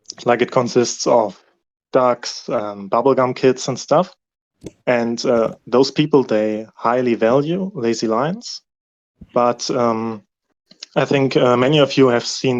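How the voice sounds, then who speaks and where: Speaking at a very slow pace with long, frequent pauses, a man with a non-native accent uses a medium pitch and ordinary pitch variation. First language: not English. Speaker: community member. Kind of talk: Q&A session. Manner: halting.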